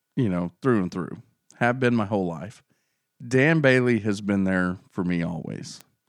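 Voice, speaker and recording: Against a quiet background, a man speaks at a moderate pace with lively intonation, his fairly low pitch carrying an unremarkable speaking voice. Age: 30s. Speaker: podcast co-host. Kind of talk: casual chat.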